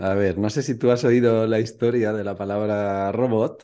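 At a fairly slow pace, a man with a medium pitch speaks in a normal speaking voice against a quiet background. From Spain, Valencia. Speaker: Spanish teacher and YouTuber. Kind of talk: casual chat.

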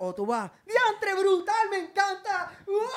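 A man's extremely high-pitched voice at a very slow pace. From Puerto Rico. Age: 30s. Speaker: singer and social media personality. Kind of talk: casual interview chat. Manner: animated.

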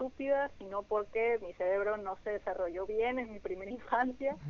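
Her pitch is fairly high and varies in an ordinary way. She talks at a moderate pace. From Mexico, Sonora (Hermosillo). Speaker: dancer and dance teacher. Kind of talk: interview. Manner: hesitant, many fillers.

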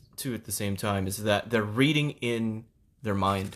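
A man with an American accent talks at a moderate pace in an unremarkable speaking voice, with ordinary pitch variation. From Philippines (Manila), then US South (Houston). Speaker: podcast co-host. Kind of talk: casual chat.

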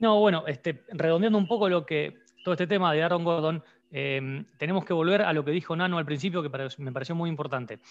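Speaking at a very fast pace, a man has a high voice. His pitch varies in an ordinary way. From Argentina. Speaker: podcast co-host. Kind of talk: casual chat.

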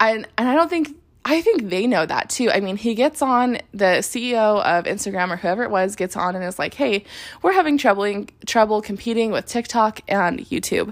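In a very clean recording with a silent background, a woman with a fairly high voice speaks at a moderate pace, her tone animated and her intonation lively. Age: 20s. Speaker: podcast host and social media consultant. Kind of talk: solo podcast monologue.

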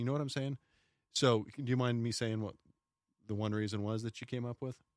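Here is a man with an unremarkable speaking voice at medium pitch, moving at a fairly quick pace. The recording is very clean and dry, close with no echo and a silent background. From smaller US town. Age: 40s. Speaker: police officer. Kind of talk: casual chat.

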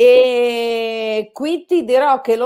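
A woman speaks with a strong Bolognese accent in a fairly high voice. Her intonation is lively. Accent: Bolognese accent, strong by own account. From Bologna, Italy. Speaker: amateur photographer. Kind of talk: casual interview chat. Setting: online live stream.

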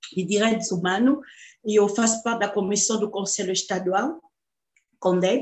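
A woman speaks in a somewhat breathy, medium-pitched voice. Her pitch varies in an ordinary way. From Democratic Republic of the Congo. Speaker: artist and human rights activist. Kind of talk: interview.

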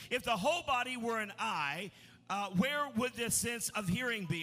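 A man speaks in a raised, projected voice with a high pitch. He talks at a fairly quick pace with lively intonation. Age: 50s. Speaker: pastor. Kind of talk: sermon. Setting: church. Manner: animated.

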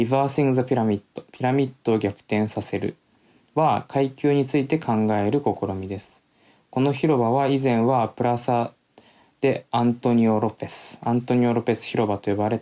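The speaker talks at a moderate pace in a dark, mellow tone with fairly even intonation, over a quiet background. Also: man, medium pitch for a man. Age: 20s. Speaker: podcast host. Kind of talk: solo talk with reading aloud. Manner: casual, filler-heavy.

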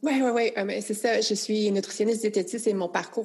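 Using a plain, everyday voice, a woman speaks at a moderate pace with fairly even intonation. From rural Quebec. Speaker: nutritionist. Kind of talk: casual chat.

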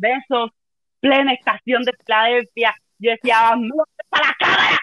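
A woman speaks at a fairly slow pace with a Cuban accent, her high voice carrying an animated tone. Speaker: philologist, travel company employee. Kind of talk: casual interview, storytelling.

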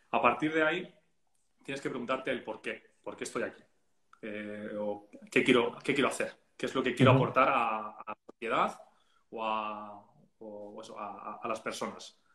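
Bright and sharp in tone, the voice moves at a moderate pace with ordinary pitch variation and big swings in loudness. Long pauses come often. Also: man, medium pitch for a man. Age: 30s. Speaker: content strategist and graphic designer. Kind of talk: casual interview.

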